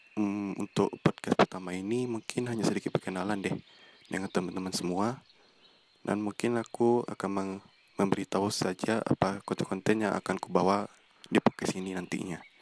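A man talks at a fairly quick pace in a fairly low voice. His intonation is flat and monotone. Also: dry, close sound with no echo. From Indonesia, West Sumatra (Bukittinggi). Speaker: student podcaster. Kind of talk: casual monologue introduction. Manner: a bit stiff.

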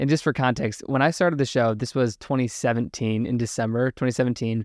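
A man with an American accent has an ordinary speaking voice, pitched medium and paced fairly slowly. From Virginia, US. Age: 20s. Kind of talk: casual interview chat.

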